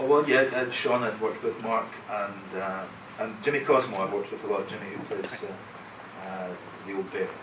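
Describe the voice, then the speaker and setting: With a Scottish accent, a man speaks at a fairly quick pace and medium pitch, with ordinary pitch variation and long, frequent pauses. Audible room echo and noticeable background noise fill the recording. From Scotland, Dundee. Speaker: actor. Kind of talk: convention panel chat.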